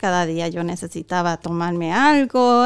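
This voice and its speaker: A woman with a Puerto Rican accent at a fairly slow pace. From southwestern Puerto Rico, Guánica. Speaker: pastor. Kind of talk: testimony.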